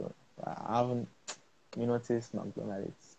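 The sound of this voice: Speaking slowly, a man holds a medium pitch with little pitch movement, a dark, mellow tone, and vocal fry.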